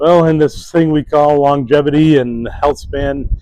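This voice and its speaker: Noticeable background noise sits behind a man speaking at a moderate tempo. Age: 60s. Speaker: fitness and wellness YouTuber. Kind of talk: casual talk to camera. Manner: halting, many fillers.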